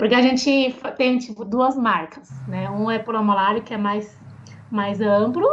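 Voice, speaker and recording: Amid noticeable background noise, a woman with a Mandarin Chinese accent speaks in a fairly high voice with ordinary pitch variation. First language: Mandarin Chinese (speaking Portuguese). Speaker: Chinese language teacher and YouTuber. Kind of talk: interview conversation. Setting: podcast.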